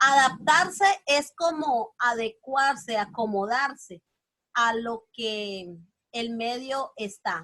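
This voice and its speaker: A woman speaks at a high pitch with lively intonation. Her tone is bright and sharp. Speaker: teacher. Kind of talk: lecture.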